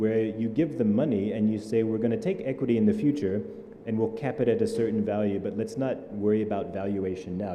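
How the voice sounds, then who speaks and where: Audible room echo surrounds a man talking at a very fast pace with fairly low pitch and ordinary pitch variation. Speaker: startup ecosystem leader. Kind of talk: panel discussion.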